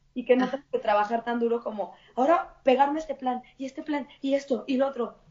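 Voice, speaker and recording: A woman with a Mexican accent speaks in an animated tone, her high pitch showing ordinary variation. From Mexico. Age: 30s. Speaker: plant-based chef. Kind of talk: casual interview.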